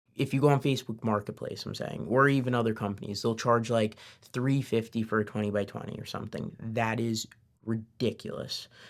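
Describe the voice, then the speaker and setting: With an ordinary speaking voice, a man talks at a fairly quick pace in a medium pitch, keeping his intonation fairly even. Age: 20s. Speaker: business owner. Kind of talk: interview answer.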